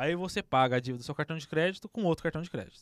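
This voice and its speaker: On a very clean recording with a silent background and a dry, close sound with no echo, a man speaks at a very fast pace in an animated tone with lively intonation. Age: 20s. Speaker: podcast host. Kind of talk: casual chat.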